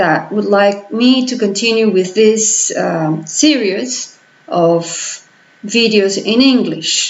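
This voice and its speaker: A woman's fairly high voice with a Spanish accent and lively intonation, in audible room echo. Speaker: political vlogger. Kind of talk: vlog commentary. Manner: slow; halting.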